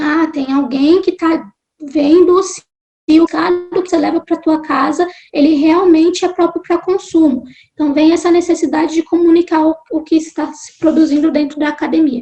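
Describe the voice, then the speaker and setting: At a moderate pace, a woman speaks with an extremely high pitch, a dark, mellow tone, fairly even intonation and big swings in loudness. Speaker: marine science graduate student and science communicator. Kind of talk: interview conversation.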